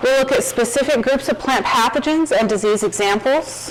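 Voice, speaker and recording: Noticeable background noise and audible room echo surround a woman's voice. She speaks at a moderate pace with ordinary pitch variation. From Arkansas, Fayetteville. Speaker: plant pathologist, guest lecturer. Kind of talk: lecture.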